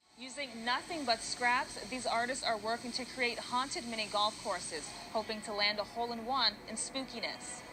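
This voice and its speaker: A woman with an American accent, fairly high in pitch with ordinary pitch variation, at a moderate pace with hardly any pauses, music in the background. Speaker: news anchor and multimedia journalist. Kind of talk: TV news reporting.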